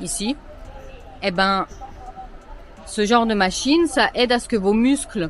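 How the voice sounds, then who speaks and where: A woman's fairly high voice at a very slow pace, with crowd noise in the background. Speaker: travel vlogger. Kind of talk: casual vlog. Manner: animated.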